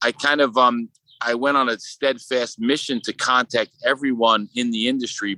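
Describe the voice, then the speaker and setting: A man talks in a Brooklyn accent with a bright, sharp tone. His intonation is fairly even, and the sound is dry and close with no echo. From Brooklyn, New York. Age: 30s. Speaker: sculptor. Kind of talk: casual interview.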